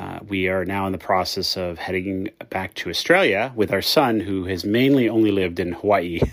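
A man with an ordinary speaking voice, fairly low pitch and an American accent, at a moderate pace with hardly any pauses. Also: ordinary pitch variation. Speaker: caller.

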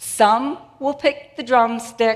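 A woman with an American accent talks in a high voice. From Boston, Massachusetts. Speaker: preacher. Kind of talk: sermon. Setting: church. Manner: animated.

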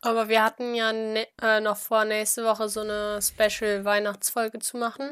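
The recording is very clean with a silent background. A woman speaks at a moderate pace in a fairly high, monotone, flat voice. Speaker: student podcast co-host. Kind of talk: casual chat. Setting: at home in her room.

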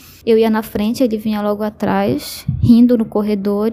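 Somewhat breathy, with a dark, mellow tone, a woman speaks at a moderate pace in a fairly high pitch with monotone, flat intonation. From Brazil, Belém do Pará. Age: 20s. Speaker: listener sharing a story. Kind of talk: personal testimony.

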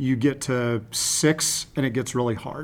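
Over a silent background in a very clean recording, a man speaks at a very slow pace with fairly even intonation. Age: 40s. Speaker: high performance coach and school student specialist. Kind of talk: interview.

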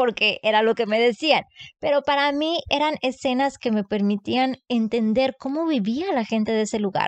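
A woman's voice sits high in pitch with ordinary variation. She speaks at a fairly quick pace. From Mexico, Matamoros, Tamaulipas. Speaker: book content creator. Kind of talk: casual chat.

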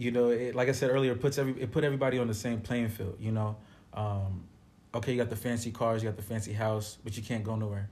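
Somewhat breathy and very fast, a man talks at medium pitch with fairly even intonation. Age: 30s. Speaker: musician. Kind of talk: casual chat.

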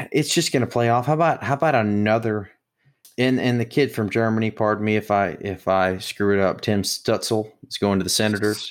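Here is a man with a plain, everyday voice and an American accent, pitched fairly low with ordinary pitch variation. The recording is very clean, with a silent background. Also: fairly quick pace. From US South (Mississippi). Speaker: sports podcast co-host. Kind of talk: casual chat.

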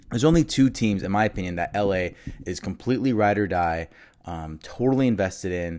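A man with an American accent, fairly low-pitched and fairly quick, with lively intonation. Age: 20s. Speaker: sports podcast host. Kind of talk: solo podcast monologue. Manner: halting, many fillers.

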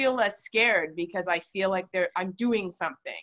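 A plain, everyday voice from a woman, medium in pitch, with ordinary pitch variation. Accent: Canadian. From Canada. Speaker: podcast host. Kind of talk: casual chat.

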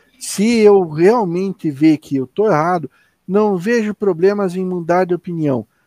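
A man's high-pitched voice comes through with a dry, close sound and no echo. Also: ordinary pitch variation, fairly slow pace. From Curitiba, southern Brazil. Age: 40s. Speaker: podcast co-host. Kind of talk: casual chat. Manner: halting, repeats words.

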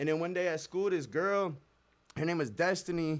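A high-pitched man with an American accent at a moderate pace. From Nebraska. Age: 20s. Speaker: rapper. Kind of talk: casual chat. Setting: studio.

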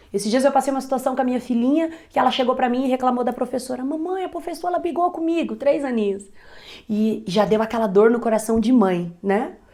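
A high-pitched woman at a very fast pace with lively intonation, over noticeable background noise. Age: 30s. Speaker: entrepreneur. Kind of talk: interview.

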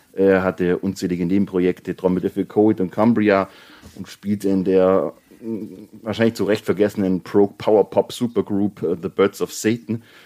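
This man speaks at a moderate pace in a fairly low pitch, his dark, mellow tone delivered with monotone, flat intonation in a dry, close sound with no echo. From Bavaria. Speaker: indie rock podcast co-host. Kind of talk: casual chat.

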